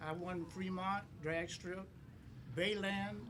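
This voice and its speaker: Audible room echo surrounds a man speaking in a high voice. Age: 80s+. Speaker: drag racer. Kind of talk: casual chat. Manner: halting.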